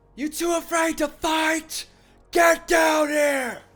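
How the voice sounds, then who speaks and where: Shouting in a put-on character voice, a man delivers his lines. His pace is very slow. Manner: taunting, challenging.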